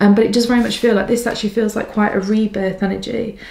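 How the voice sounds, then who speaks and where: A woman speaks at a very fast pace in a monotone, flat intonation, with noticeable background noise behind her. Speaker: psychic tarot reader. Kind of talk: pick a card reading.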